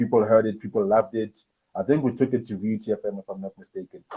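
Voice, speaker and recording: At a very fast pace, a man talks with a fairly low pitch and fairly even intonation. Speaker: rapper and music producer. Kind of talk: interview, casual chat.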